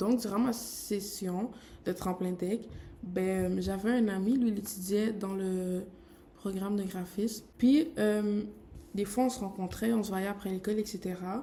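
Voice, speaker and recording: A woman at a medium pitch and fairly slow pace, with fairly even intonation. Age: 20s. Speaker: graphic designer. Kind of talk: vlog. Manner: casual, filler-heavy.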